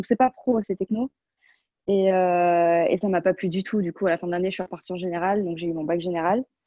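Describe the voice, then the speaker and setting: A woman's medium-pitched voice with fairly even intonation at a fairly quick pace. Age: 20s. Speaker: pastry chef. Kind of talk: casual chat. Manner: halting.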